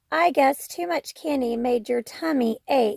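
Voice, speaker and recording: A put-on character voice from a woman, raspy and high-pitched. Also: fairly slow pace. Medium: read story.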